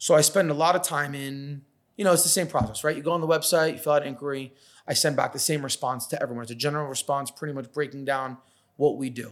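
In a very clean recording with a silent background, a man with an American accent and a fairly high pitch talks at a very fast pace. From New York. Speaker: mobile pizza caterer. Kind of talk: casual chat. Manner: animated, profane.

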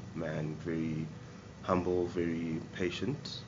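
Room echo is audible around a man's very deep, low voice. His intonation stays fairly even. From Zimbabwe. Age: 30s. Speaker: brewer. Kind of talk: casual interview; guided tour. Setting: brew pub. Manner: halting, with many fillers.

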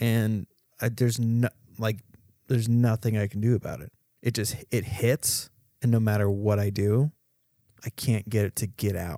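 The voice has a dark, mellow tone and long, frequent pauses, recorded dry and close with no echo against a silent background in a very clean recording. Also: man, medium pitch for a man, fairly even intonation. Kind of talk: casual chat. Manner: slow talker.

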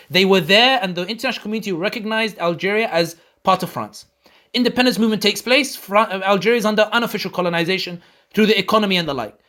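Raised and projected, a man's bright, sharp voice comes at a high pitch and a very fast pace, in a London accent with ordinary pitch variation. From London, England. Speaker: political commentator. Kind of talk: casual interview. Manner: repetitive halting.

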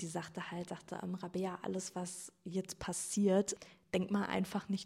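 Somewhat breathy and medium in pitch, a woman speaks at a fairly slow pace with monotone, flat intonation. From Germany, Sauerland (Iserlohn). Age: 20s. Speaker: coaching client, physiotherapist. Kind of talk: personal testimony in interview.

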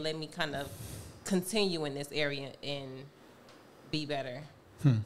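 A woman's fairly quick, fairly even-toned speech over noticeable background noise. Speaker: podcast co-host. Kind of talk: casual chat.

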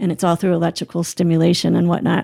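A woman's fairly low voice, dark and mellow in tone, with an American accent, on a very clean recording with a silent background and a dry, close sound with no echo. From New Jersey, small town near New York City. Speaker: mother and foundation founder. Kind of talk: casual chat.

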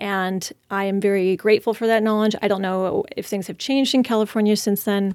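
A woman in a normal speaking voice talks at a fairly quick pace with a medium pitch and fairly even intonation, captured on a very clean recording with a silent background. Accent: American. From Washington State, San Juan Islands. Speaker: acupuncturist. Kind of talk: casual interview.

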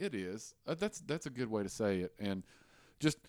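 On a very clean recording with a silent background, a man with a Southern US accent speaks in a fairly low pitch with lively intonation. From US South, Tennessee. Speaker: podcast host. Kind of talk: casual chat.

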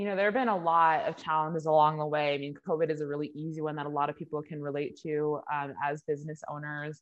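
At a very fast pace, a woman talks with a very deep, low pitch and fairly even intonation. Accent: American. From Orange County, California. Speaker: beauty business founder. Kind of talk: interview.

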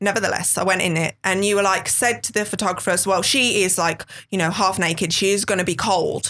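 A woman's very fast speech in a strong Brummie accent, medium in pitch and fairly even in intonation. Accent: thick Brummie. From West Midlands, England. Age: 30s. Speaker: model. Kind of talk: casual interview chat.

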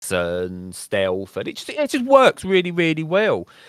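With a British accent, a man speaks at a moderate pace in a dry, close sound with no echo, and the recording is very clean against a silent background. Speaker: gaming podcast host. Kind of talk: casual chat. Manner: animated.

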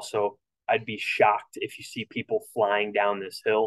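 The pace of this man's speech is moderate. His voice comes across dry and close, without any echo. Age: 30s. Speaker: triathlon coach and podcast host. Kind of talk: solo podcast race preview. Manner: casual, frequent filler words.

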